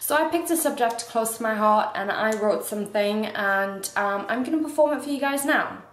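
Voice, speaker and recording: A woman's fairly high voice, fairly quick and lively, with hardly any pauses over noticeable background noise. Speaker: beauty vlogger. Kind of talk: casual talk to camera.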